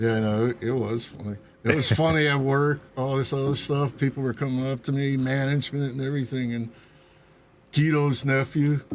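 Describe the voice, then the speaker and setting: In a plain, everyday voice, this man speaks with a medium pitch and a moderate pace. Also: fairly even intonation. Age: 60s. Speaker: bar regular playing Santa. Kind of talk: casual chat.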